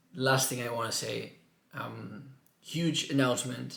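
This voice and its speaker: Audible room echo and noticeable background noise surround the speaker. He is a man with a medium pitch. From Mallorca, Spain. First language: Catalan (Mallorcan). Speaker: vlogger. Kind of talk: personal vlog. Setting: his room at home. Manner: halting.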